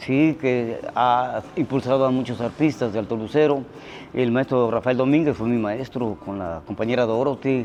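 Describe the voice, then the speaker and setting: A man's medium-pitched voice, with ordinary pitch variation, comes at a moderate pace. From Veracruz, Mexico (Xalapa). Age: 60s. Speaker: musician. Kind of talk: interview testimony. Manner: hesitant, many fillers.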